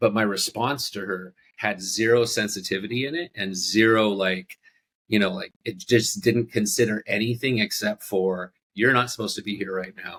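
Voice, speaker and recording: The man has a plain, everyday voice, fairly low in pitch with ordinary pitch variation. He speaks at a moderate pace, with a dry, close sound and no echo. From Southern California. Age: 40s. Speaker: bar owner. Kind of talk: casual interview conversation.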